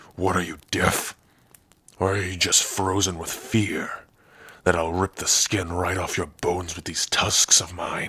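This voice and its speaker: Using a put-on character voice, a man speaks raspy and very deep at a low pitch and a moderate pace. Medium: audio drama. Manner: gruff, sardonic, bitter.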